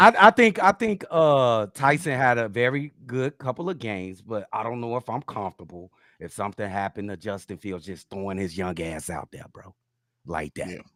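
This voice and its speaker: Recorded with a dry, close sound and no echo, a man with a Chicago accent speaks at a moderate pace with a medium pitch, very wide pitch swings and big swings in loudness. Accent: South Side Chicago. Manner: casual, stretched vowels.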